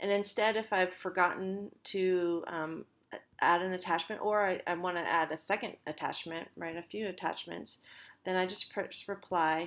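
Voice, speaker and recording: Over a silent background in a very clean recording, a woman speaks at a medium pitch. Her pace is moderate and her intonation monotone and flat. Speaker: college instructor. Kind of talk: tutorial. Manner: halting, many fillers.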